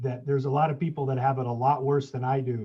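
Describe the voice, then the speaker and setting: A man with an American accent speaks at a fairly quick pace. His voice is somewhat breathy. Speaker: pilgrim. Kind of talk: casual chat.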